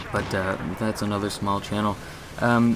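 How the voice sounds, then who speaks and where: A man speaks at a fairly low pitch with fairly even intonation. There is noticeable background noise. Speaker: gaming YouTuber. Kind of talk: live gameplay commentary. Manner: stutters, halting.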